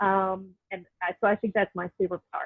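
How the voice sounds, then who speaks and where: A woman with a Southern US accent at a medium pitch. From US South, North Carolina. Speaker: stage manager. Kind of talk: casual chat. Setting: video call.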